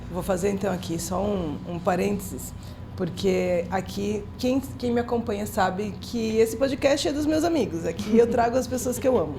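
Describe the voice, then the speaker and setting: A woman talks at a middling speed while background noise and echo from the room are both clearly audible. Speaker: podcast host. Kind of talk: casual interview chat.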